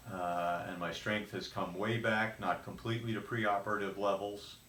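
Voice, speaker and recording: A man talks at a moderate pace with fairly even intonation. The room echo is audible. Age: 70s. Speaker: patient. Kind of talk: testimony. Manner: halting.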